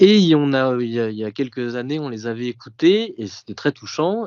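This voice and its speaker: At a moderate pace, a man is talking. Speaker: podcast guest, print production manager. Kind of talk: casual interview, personal recollection. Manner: hesitant, many fillers.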